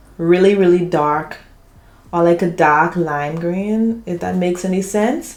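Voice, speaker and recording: Over noticeable background noise, a woman speaks at a fairly low pitch. Her pace is fairly slow and her pitch varies in an ordinary way. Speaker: beauty YouTuber. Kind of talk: tutorial.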